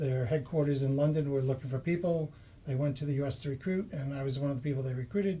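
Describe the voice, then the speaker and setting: With a Boston accent, a man talks at a very fast pace in a fairly high pitch with ordinary pitch variation. His tone is dark and mellow and somewhat breathy. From Massachusetts, US. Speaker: property investor. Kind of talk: interview.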